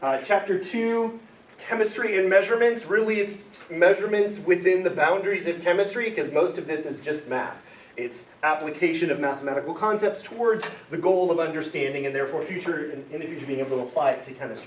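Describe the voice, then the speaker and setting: A man's high-pitched, very fast speech with lively intonation, audible room echo and noticeable background noise. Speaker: college chemistry instructor. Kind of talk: lecture.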